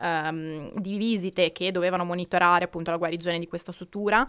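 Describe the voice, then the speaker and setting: Through a very clean recording with a silent background, a woman with a plain, everyday voice speaks at a fairly quick pace and medium pitch, with ordinary pitch variation. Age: 20s. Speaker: researcher and podcast co-host. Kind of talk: personal testimony.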